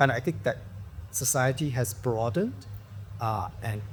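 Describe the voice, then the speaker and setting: Somewhat breathy, a man's voice carries a dark, mellow tone and lively intonation. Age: 60s. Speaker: actor. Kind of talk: casual chat.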